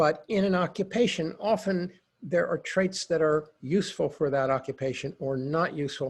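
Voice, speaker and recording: Against a quiet background, a man speaks with lively intonation. His voice is somewhat breathy. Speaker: psychologist and lawyer consultant. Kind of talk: webinar presentation.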